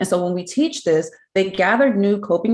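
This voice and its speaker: Delivered at a moderate pace, this is a plain, everyday voice with lively intonation. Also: woman. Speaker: smoking cessation program presenter. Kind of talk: conference presentation.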